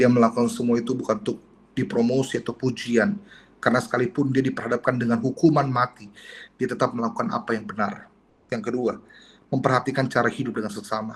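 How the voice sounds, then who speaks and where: A man speaks at a very fast pace in a medium pitch. His somewhat breathy voice shows ordinary pitch variation. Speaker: pastor. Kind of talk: sermon. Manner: expressive.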